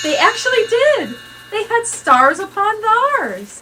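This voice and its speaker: A woman puts on a squeaky character voice at an extremely high pitch with a warm tone. She speaks at a fairly slow pace over light background noise. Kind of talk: read-aloud storytelling. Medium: read story. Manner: expressive, warm.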